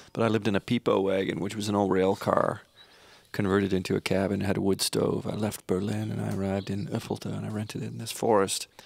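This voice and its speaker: A man with a Canadian accent, fairly low pitch, very fast pace and fairly even intonation. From Canada. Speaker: singer-songwriter. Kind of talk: interview storytelling. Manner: halting.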